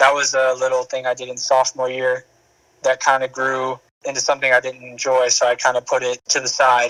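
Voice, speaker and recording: Dry and close with no echo, a voice with an American accent moves at a fairly quick pace, bright and sharp in tone but monotone and flat in intonation. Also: man, medium pitch for a man. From Minnesota. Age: 18. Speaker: young entrepreneur. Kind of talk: podcast interview.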